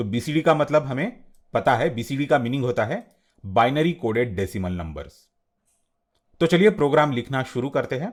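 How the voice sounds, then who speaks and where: In a very clean recording with a silent background, a man with a non-native accent speaks at a medium pitch with lively intonation. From India. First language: not Hindi (speaking Hindi). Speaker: teacher. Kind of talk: tutorial.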